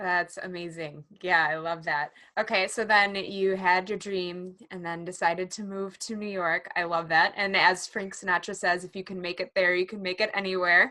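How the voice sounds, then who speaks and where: A woman with an American accent speaks at a medium pitch and a moderate pace in a bright, sharp tone, her intonation monotone and flat, her loudness swinging widely, with hardly any pauses, on a very clean recording with a silent background. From US Midwest, Chicago area. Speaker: podcast host. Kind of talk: interview conversation.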